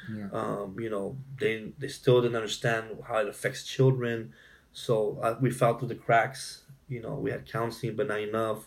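A somewhat breathy man's voice of medium pitch, with fairly even intonation. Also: moderate pace. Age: 40s. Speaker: domestic violence survivor and speaker. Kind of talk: personal testimony in interview.

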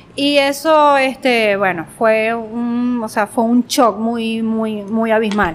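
The delivery is very slow, with hardly any pauses. Pitch variation is ordinary. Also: woman, fairly high pitch for a woman. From Venezuela, Guanare (Portuguesa), also Mérida and Barquisimeto. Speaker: visual artist and designer. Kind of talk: casual interview.

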